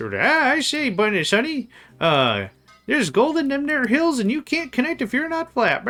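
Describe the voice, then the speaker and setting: Putting on a character voice, a man speaks at an extremely high pitch with lively intonation and a moderate pace. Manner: folksy, gravelly old-timer.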